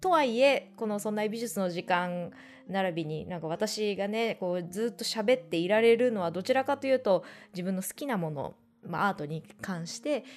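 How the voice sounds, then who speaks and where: Her voice is an unremarkable speaking voice at medium pitch for a woman, with lively intonation and a moderate pace. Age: 30s. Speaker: art podcast host. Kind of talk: casual solo radio talk.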